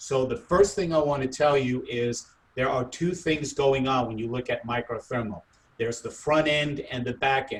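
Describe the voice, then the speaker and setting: A man with a medium pitch and a somewhat breathy voice talks at a moderate pace. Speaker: product trainer. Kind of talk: training webinar.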